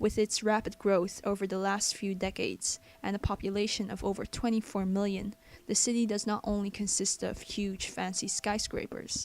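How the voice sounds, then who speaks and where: At a moderate pace, a woman with a Chinese accent speaks at medium pitch. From Belgium. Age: young. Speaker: vlogger. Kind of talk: scripted narration.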